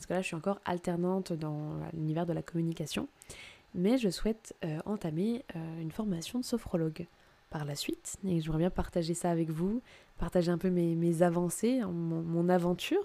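At a moderate pace, a woman speaks in a dark, mellow tone at a fairly low pitch with ordinary pitch variation. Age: 20s. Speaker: podcast host. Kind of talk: solo podcast monologue. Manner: halting.

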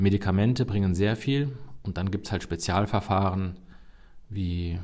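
With an unremarkable speaking voice, a man speaks fairly slowly at a fairly low pitch, his intonation fairly even. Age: 50s. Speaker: cardiologist, chief physician. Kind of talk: expert interview.

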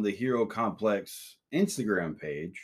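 With an American accent, a man of medium pitch has an ordinary speaking voice and lively intonation. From US South. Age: 40s. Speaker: podcast host. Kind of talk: casual chat. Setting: studio, also streamed live online.

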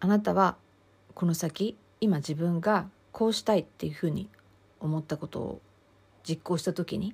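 Vocal fry runs through this moderate-paced speech, which has ordinary pitch variation and long, frequent pauses. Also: woman, fairly low pitch for a woman. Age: 50s. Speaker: counselor and podcast host. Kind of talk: solo podcast talk.

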